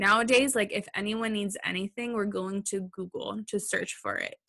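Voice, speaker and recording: A woman with an American accent speaks at a moderate pace and medium pitch, her intonation monotone and flat, her tone bright and sharp, in a dry, close sound with no echo. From California. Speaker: web designer and SEO expert. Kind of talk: interview answers, casual.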